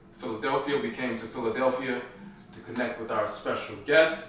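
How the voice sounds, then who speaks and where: A man talks at a moderate pace with ordinary pitch variation. Light background noise and audible room echo are present. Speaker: podcast host. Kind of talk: podcast introduction. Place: home room.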